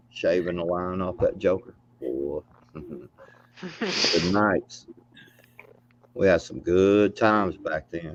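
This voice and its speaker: Amid noticeable background noise, a man with a very deep, low pitch and ordinary pitch variation speaks very slowly, pausing long and often. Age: 50s. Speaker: livestream participant. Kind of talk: casual chat. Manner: casual, slangy.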